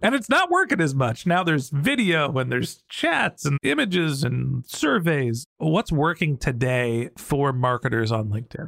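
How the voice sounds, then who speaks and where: With an ordinary speaking voice, a man of fairly high pitch talks at a moderate pace with hardly any pauses, lively intonation and very even loudness, in a dry, close sound with no echo. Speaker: podcast host. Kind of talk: interview.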